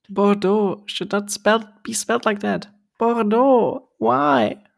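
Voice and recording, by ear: A whiny, put-on character voice speaks at a very slow pace. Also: female-sounding voice, medium pitch for a woman.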